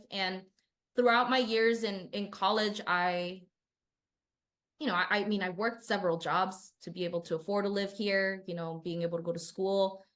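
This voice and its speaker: Over a quiet background, a woman with a slight Spanish accent speaks at a moderate pace and medium pitch, her intonation fairly even. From Southern California, Inland Empire. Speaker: city council candidate, union organizer. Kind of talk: interview.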